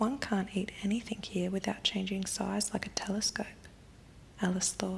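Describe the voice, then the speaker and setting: Over noticeable background noise, the speaker keeps a moderate pace. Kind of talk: ASMR bedtime story reading. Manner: softly spoken, whispering.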